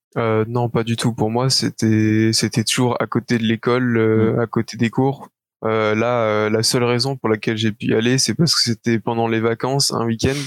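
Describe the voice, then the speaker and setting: The sound is dry and close with no echo as a man at medium pitch talks at a fairly slow pace, his intonation monotone and flat and his loudness very even. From Belgium. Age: 20s. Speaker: esports player. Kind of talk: interview. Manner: halting.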